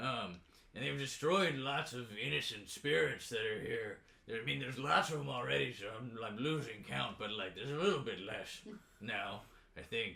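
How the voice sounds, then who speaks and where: A man's put-on character voice at a medium pitch. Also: moderate pace. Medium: actual play. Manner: casual, rambling.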